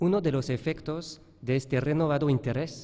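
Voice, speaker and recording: Speaking at a moderate pace, a man has a fairly high pitch and a dark, mellow tone. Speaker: professor. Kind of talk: conference talk read from paper. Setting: conference hall with audience. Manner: halting, hesitant.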